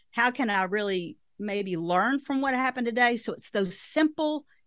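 On a very clean recording with a silent background, a woman with a strong Southern US accent speaks at a moderate pace with very wide pitch swings. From Arkansas, US South. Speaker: author and speaker, former financial advisor. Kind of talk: interview answers, conversational.

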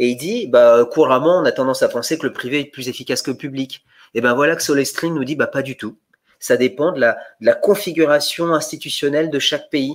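A man with a fairly high pitch talks at a fairly quick pace with ordinary pitch variation in an ordinary speaking voice. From born in Bulgaria. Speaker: economist. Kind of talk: academic conversation.

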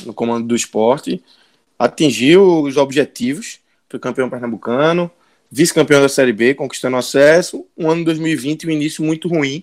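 A plain, everyday voice from a man, fairly high in pitch, with lively intonation at a moderate pace. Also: very clean recording, silent background. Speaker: podcast host. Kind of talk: casual sports talk.

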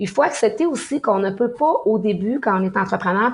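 She speaks with a Quebec accent. Her pitch is fairly high for a woman, with ordinary pitch variation. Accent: Québécois French. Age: 50s. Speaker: sommelier and mixologist, business owner. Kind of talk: interview.

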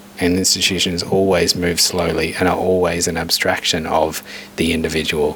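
A man speaks at a very deep, low pitch. Background noise is noticeable. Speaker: radio host. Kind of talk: interview. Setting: studio.

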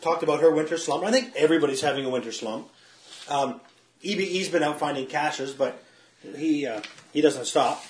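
A man at a fairly high pitch and fairly quick pace, with ordinary pitch variation, long, frequent pauses and noticeable background noise. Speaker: co-host, geocacher. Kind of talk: casual chat.

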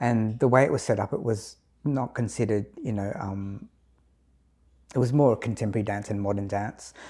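With an Australian accent, a man speaks at a fairly low pitch in a dark, mellow tone with fairly even intonation. His moderate pace includes long, frequent pauses, on a very clean recording with a silent background. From Adelaide, South Australia (Filipino Australian community). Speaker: dance and movement therapist, community educator. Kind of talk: interview. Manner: hesitant, many fillers.

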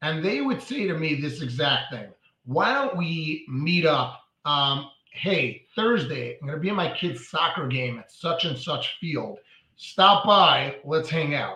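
Someone talks at a fairly slow pace with a New York accent. The intonation is lively. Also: man, fairly high pitch for a man. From New York (Brooklyn). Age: 40s. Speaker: mortgage broker. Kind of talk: interview.

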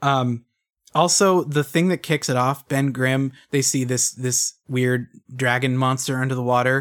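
Speaking at a fairly slow pace, a man with an unremarkable speaking voice keeps a medium pitch and fairly even intonation. The recording is very clean, with a silent background. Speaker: guest co-host from another podcast. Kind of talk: casual chat.

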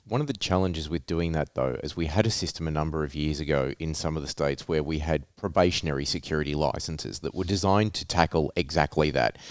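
On a very clean recording with a silent background, a man with a very deep, low pitch and vocal fry talks at a very fast pace with hardly any pauses and ordinary pitch variation. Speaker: podcast host. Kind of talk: interview.

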